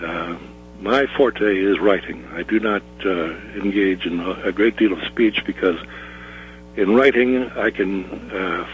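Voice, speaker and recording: A man's fairly low-pitched, fairly slow speech with lively intonation, over noticeable background noise. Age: 70s. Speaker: caller, former police officer. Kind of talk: call-in commentary. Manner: halting, many hesitations.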